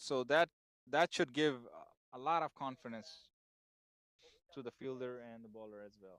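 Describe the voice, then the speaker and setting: A man's medium-pitched voice at a moderate pace, with long, frequent pauses, big swings in loudness, ordinary pitch variation, and a dry, close sound with no echo. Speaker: cricket commentator. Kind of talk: live commentary. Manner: halting.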